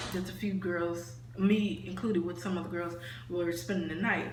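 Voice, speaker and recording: The intonation is lively, with long, frequent pauses. Noticeable background noise is present. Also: woman. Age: young. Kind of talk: casual storytime talk to camera. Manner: casual, rambling.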